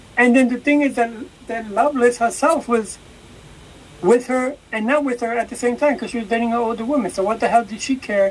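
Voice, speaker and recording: Her voice pitched high, a woman speaks against noticeable background noise. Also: fairly even intonation, fairly quick pace. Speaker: podcast co-host. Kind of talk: casual chat. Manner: blunt, reactive, casual.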